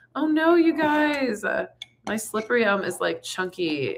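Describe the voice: A woman speaks at a fairly slow pace in a raspy voice with vocal fry.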